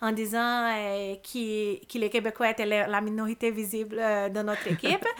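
Monotone, flat intonation in a Brazilian accent, on a very clean recording with a silent background. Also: woman. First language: Portuguese (speaking French). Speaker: immigrant lawyer and labour conciliator. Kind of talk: podcast interview. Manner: halting, many repetitions and fillers.

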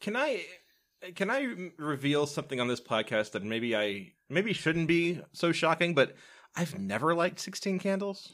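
Speaking with an American accent, a man uses very wide pitch swings around a fairly high pitch at a moderate pace. The recording is very clean, with a silent background. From US South. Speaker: podcast host. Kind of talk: casual chat.

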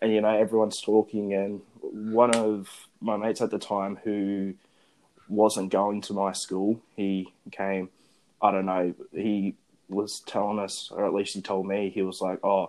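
Against a quiet background, a man with an Australian accent speaks at a fairly low pitch in monotone, flat intonation. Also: fairly slow pace. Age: young. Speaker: podcast host. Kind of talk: casual chat. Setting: phone recording.

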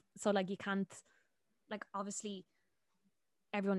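Speaking in a Dublin accent, a woman has a medium pitch, recorded with a dry, close sound and no echo. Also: very clean recording, silent background. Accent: Dublin Irish. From Dublin, Ireland. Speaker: TikTok content creator. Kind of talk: casual chat. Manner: casual, laughs often.

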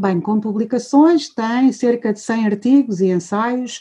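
Using lively intonation, a woman speaks at a fairly slow pace in a dark, mellow tone that is somewhat breathy. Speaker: retired professor, course organizer. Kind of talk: formal introduction. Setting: video call.

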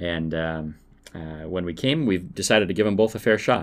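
A man with an American accent, fairly quick and lively in intonation, on a very clean recording with a silent background. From Minnesota. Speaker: podcast host, local business owner. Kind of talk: solo podcast monologue. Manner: frequent filler words (uh).

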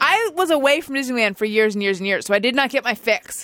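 Very fast, high-pitched speech from a woman with an American accent and lively intonation, on a very clean recording with a silent background. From Southern California. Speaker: podcast host. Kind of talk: casual chat. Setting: studio.

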